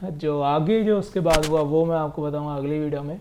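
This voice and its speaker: This man's voice has a fairly high pitch and a dark, mellow tone. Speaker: travel vlogger. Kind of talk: casual vlog narration. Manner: monotone.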